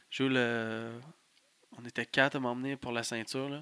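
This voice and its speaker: Here a man with a Quebec accent talks at a moderate pace with fairly even intonation. His tone is bright and sharp, and the sound is dry and close with no echo. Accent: Québécois French. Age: 20s. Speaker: pro wrestler. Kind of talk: casual chat. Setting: studio.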